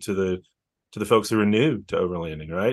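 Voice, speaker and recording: Against a quiet background, a man talks with a Texan accent and ordinary pitch variation. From Texas, near Austin. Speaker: outdoor event organizer. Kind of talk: casual interview.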